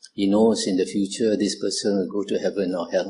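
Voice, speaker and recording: At a moderate pace, a man with a Malaysian accent talks at a fairly low pitch. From Malaysia, Kuala Lumpur. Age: 70s. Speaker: Buddhist monk. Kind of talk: dharma talk to youth group. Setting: talk to audience. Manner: frequent filler 'uh'.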